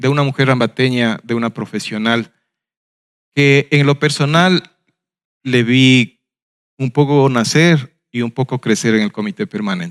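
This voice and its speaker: In a very clean recording with a silent background, a man talks fairly slowly in an ordinary speaking voice. His medium pitch has ordinary variation, and the sound is dry and close with no echo. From Ecuador, Ambato. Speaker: webinar moderator, former festival committee director. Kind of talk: panel discussion.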